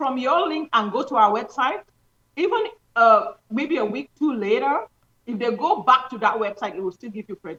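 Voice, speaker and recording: At a moderate pace, a woman with a plain, everyday voice speaks at a fairly high pitch with lively intonation. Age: 60s. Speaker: doctor promoting health products. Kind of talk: interview promoting products.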